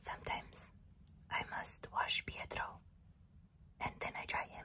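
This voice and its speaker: A woman is whispering at a fairly slow pace. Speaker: ASMR creator. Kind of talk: ASMR whisper roleplay. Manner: whispered. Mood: calm, playful. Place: home room. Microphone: studio mic.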